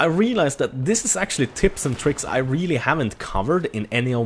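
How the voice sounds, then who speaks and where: Very fast and enthusiastic, a man with a Swedish accent speaks with very wide pitch swings over noticeable background noise. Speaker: gaming YouTuber. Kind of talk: gameplay commentary. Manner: casual, enthusiastic.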